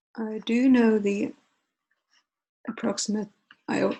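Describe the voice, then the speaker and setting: At a fairly high pitch and a fairly slow pace, a woman talks in a somewhat breathy voice. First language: Finnish. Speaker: art lecturer. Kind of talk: lecture. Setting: online lecture with screen share. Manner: halting with pauses.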